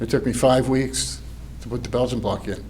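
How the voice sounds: The speech moves at a moderate pace. Room echo is audible. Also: man.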